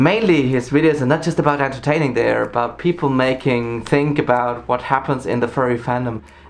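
Fairly quick speech from a man with a German accent and ordinary pitch variation. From Germany, Saarland. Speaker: YouTuber. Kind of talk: scripted countdown narration. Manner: upbeat. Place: home room.

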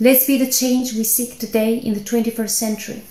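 A woman with an Albanian accent speaks at a fairly high pitch in a dark, mellow tone. Her intonation is monotone and flat, and audible room echo surrounds her voice. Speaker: scientist. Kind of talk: personal testimony speech. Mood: earnest, calm, heartfelt. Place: home room. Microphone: phone near.

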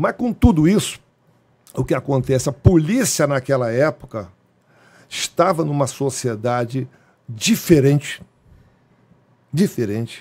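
Somewhat breathy and fairly high-pitched, a man speaks at a fairly slow pace with lively intonation, leaving long, frequent pauses. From Brazil, Rio de Janeiro. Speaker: retired police colonel; guest. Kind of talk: interview storytelling. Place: studio. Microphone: studio mic.

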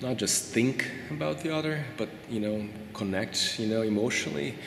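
Noticeable background noise accompanies a man speaking with lively intonation. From Brazil. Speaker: qualitative researcher. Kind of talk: interview answer. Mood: reflective, thoughtful. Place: hall.

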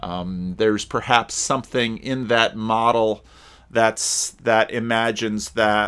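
A man speaks at a very slow pace with fairly even intonation in a quiet background. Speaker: pastor. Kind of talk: commentary. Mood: reflective, conversational. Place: home room. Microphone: webcam.

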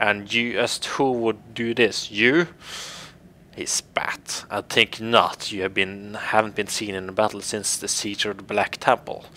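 A man puts on a character voice that is raspy and fairly low in pitch. He goes at a fairly slow pace. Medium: game stream. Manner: sneering, contemptuous, menacing.

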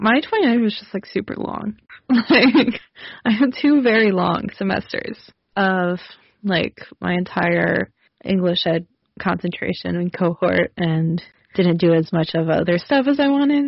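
At a fairly slow pace, a woman of medium pitch talks with lively intonation and a somewhat breathy sound. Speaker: pop culture podcast co-host. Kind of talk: casual chat. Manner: animated.

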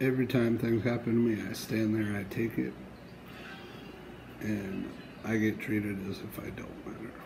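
Against noticeable background noise, a man with an American accent speaks at a fairly low pitch with fairly even intonation and long, frequent pauses. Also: moderate pace. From Wichita, Kansas. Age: 30s. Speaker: truck driver trainee. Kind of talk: casual talk to camera. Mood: aggrieved, complaining.

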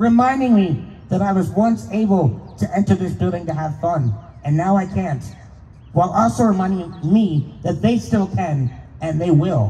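Moderate-paced speech from a man, pitched high. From Pennsylvania, US. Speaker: speaker. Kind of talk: rally speech. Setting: stage with audience. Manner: earnest, impassioned. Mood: aggrieved, earnest. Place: street. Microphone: handheld.

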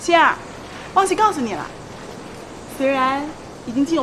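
A woman with a high pitch speaks at a moderate pace over noticeable background noise. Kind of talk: scripted drama dialogue. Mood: mocking, smug. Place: street.

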